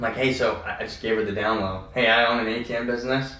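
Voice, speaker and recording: A man talks fairly quickly at a medium pitch with ordinary pitch variation, with audible room echo and noticeable background noise. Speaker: ATM business owner and podcast co-host. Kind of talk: casual podcast chat. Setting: office. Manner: fast.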